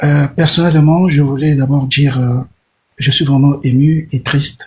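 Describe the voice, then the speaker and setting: A man speaks at a fairly slow pace in a fairly high pitch, his somewhat breathy voice flat and monotone, with very even loudness. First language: Portuguese (speaking French). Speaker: caller. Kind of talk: live call-in discussion.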